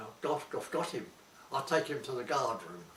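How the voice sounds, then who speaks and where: Somewhat breathy, a man speaks at medium pitch with lively intonation. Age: old. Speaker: war veteran. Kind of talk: interview answer.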